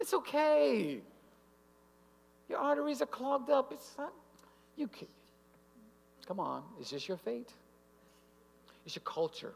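A man at a moderate pace with very wide pitch swings. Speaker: health speaker at church; speaker. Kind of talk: health lecture. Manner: animated. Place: hall. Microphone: podium.

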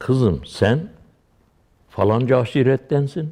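This man's voice carries a dark, mellow tone. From Dersim, eastern Turkey. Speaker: Alevi pir, religious leader. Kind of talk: lecture-style religious explanation with personal anecdotes.

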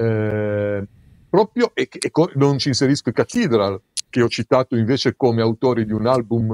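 The sound is dry and close, with no echo. A man speaks at a medium pitch with fairly even intonation. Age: 60s. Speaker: music writer and author. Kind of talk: casual chat. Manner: halting.

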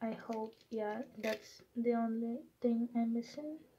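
A woman talks very slowly with a non-native accent, her fairly high pitch held in a monotone, flat intonation. Light background noise sits under her voice. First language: not English. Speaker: collector unboxing mail. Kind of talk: casual unboxing talk to camera. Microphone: phone near.

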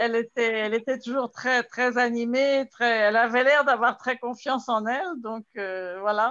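This woman's voice sits at a high pitch. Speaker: guest's aunt. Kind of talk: casual chat. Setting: video call.

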